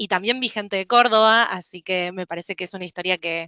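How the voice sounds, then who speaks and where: The speaker has a Rioplatense accent. The intonation is fairly even. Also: woman. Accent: Rioplatense Spanish (porteño). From Buenos Aires, Argentina. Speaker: HR professional, company speaker. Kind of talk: online presentation.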